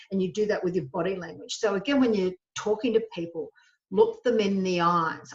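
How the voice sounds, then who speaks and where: This woman talks at a fairly quick pace in a somewhat breathy, medium-pitched voice with ordinary pitch variation. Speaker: HR trainer. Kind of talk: webinar lecture. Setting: solo webinar recording.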